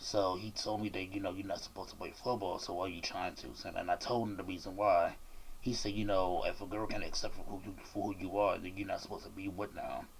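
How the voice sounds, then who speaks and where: A man with an American accent talks very fast in a flat monotone. Audible room echo is present. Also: fairly low pitch for a man. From Washington DC. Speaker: YouTuber and rapper interviewing a guest. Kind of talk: casual interview.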